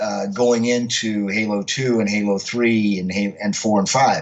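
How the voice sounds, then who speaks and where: A man with a plain, everyday voice, fairly low in pitch, at a fairly slow pace. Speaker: professional voice actor and veteran radio DJ. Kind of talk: interview answer. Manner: conversational, relaxed.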